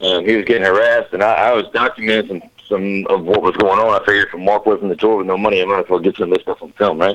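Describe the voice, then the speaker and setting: A man with a Louisiana accent at a very fast pace, with hardly any pauses. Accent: Southern US (Louisiana). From Southwest Louisiana. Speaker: DJ and music producer. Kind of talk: casual interview chat.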